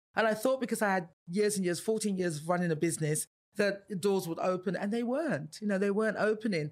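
A woman talks very fast at a medium pitch, with ordinary pitch variation. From Nigeria. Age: 50s. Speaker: psychotherapist. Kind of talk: interview. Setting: studio.

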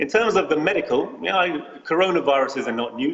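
Noticeable background noise runs behind a man with a British accent. He speaks at a fairly quick pace with lively intonation. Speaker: physician. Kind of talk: interview.

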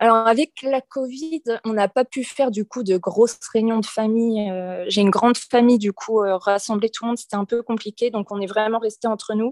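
An ordinary speaking voice with fairly even intonation comes through a dry, close sound with no echo. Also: woman, fairly high pitch for a woman, moderate pace. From western France (Nantes). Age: 20s. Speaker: expatriate, former preschool worker. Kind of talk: casual interview.

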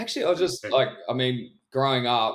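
This man speaks with a New Zealand accent at a moderate pace and a medium pitch. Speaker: DJ and music producer. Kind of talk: casual interview.

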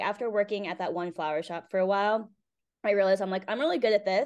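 A woman with a Northeastern US accent speaks at a medium pitch with ordinary pitch variation over a quiet background. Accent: American (Northeast). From Connecticut, US. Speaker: florist and business owner. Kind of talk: interview. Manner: casual with frequent fillers.

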